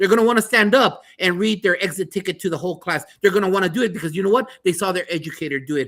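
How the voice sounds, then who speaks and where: A man's high, animated voice at a very fast pace, bright and sharp in tone, with ordinary pitch variation. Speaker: podcast host and school principal. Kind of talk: panel discussion.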